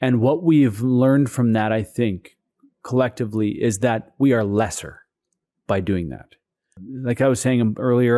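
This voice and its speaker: Recorded very cleanly over a silent background, a man with a West Coast Canadian accent talks at a medium pitch and moderate pace, his tone dark and mellow, with ordinary pitch variation. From Saanich Peninsula, Vancouver Island, British Columbia. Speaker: provincial legislator. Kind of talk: interview. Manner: halting, many fillers.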